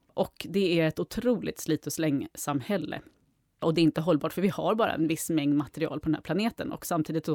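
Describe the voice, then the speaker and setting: A woman's dark, mellow voice with a fairly low pitch at a fairly quick pace. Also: dry, close sound with no echo. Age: 40s. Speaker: circular economy executive. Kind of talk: casual interview.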